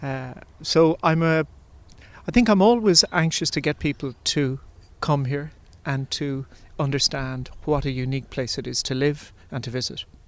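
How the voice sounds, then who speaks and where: A man speaks with long, frequent pauses. The recording is very clean, with a silent background. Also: fairly high pitch for a man, moderate pace. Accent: Irish. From Ireland. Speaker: composer. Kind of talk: interview. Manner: halting.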